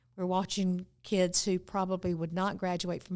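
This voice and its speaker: On a very clean recording with a silent background, a woman with a North Carolina accent speaks at a moderate pace in a fairly low, flat, monotone voice. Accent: Southern US (North Carolina). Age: 70s. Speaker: former mayor. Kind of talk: casual interview. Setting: studio.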